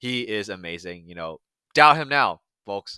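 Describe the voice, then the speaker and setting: Bright and sharp in tone, the voice comes through a very clean recording with a silent background and a dry, close sound without echo. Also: man. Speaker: MMA commentator YouTuber. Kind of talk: casual reaction commentary. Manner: halting, many fillers and repeats.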